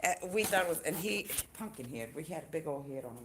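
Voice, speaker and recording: Amid noticeable background noise, a woman speaks at a fairly quick pace with very wide pitch swings. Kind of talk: casual chat.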